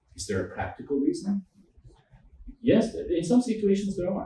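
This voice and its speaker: This man speaks with a Quebec accent. His pace is fairly quick. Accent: French Canadian accent in English. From French Canada. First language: French. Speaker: law professor and human rights trainer. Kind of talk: lecture.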